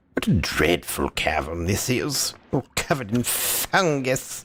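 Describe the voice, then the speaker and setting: A man puts on a character voice with a pompous tone. His medium pitch swings very widely at a fairly slow pace. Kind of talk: snooty, posh. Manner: pompous, disdainful.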